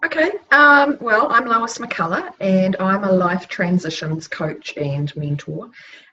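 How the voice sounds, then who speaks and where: A woman speaks at a very slow pace and a medium pitch, her voice making very wide pitch swings. There is noticeable background noise. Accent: New Zealand. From New Zealand. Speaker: life transitions coach. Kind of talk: casual conversation.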